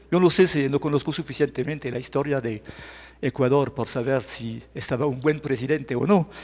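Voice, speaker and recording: The speech comes with a French accent. It moves at a moderate pace. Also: man. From France. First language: French (speaking Spanish). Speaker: journalist and lecturer. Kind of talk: lecture. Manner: halting, self-correcting.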